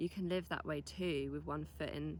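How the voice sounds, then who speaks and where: A woman with a British accent. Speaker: vlogger. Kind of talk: vlog. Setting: outdoors. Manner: soft-spoken.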